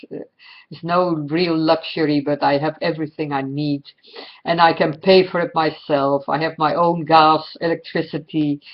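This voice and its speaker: Speaking with a Dutch accent, a woman has a very deep, low pitch and monotone, flat intonation. Her pace is moderate, with big swings in loudness. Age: 60s. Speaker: astrologer. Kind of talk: personal monologue. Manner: halting, many fillers.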